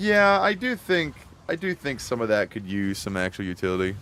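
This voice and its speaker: A man's voice at a moderate pace with very wide pitch swings. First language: Spanish (no longer spoken). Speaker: streamer. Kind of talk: casual chat.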